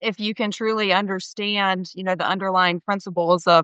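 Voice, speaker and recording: A woman's medium-pitched voice in a monotone, flat delivery at a fairly quick pace. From US South, small-town North Carolina. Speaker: company CFO. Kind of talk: interview.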